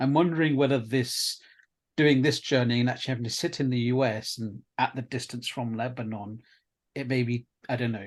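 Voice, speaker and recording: A man speaks at a fairly quick pace with a British accent, his pitch medium against a quiet background. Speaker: video producer and interviewer. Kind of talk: interview conversation. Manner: hesitant.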